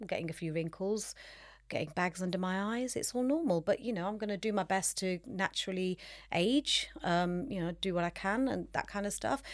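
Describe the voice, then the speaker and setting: A woman's medium-pitched voice, a normal speaking voice with ordinary pitch variation, on a very clean recording with a silent background. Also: fairly quick pace. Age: 50s. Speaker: nutritionist and personal trainer. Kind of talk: casual chat.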